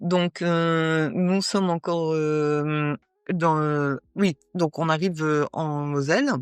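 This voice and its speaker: A woman speaks very slowly at a very deep, low pitch with fairly even intonation, recorded with a dry, close sound and no echo. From northern France. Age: 60s. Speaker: Paralympic athlete. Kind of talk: interview. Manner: halting, many hesitations.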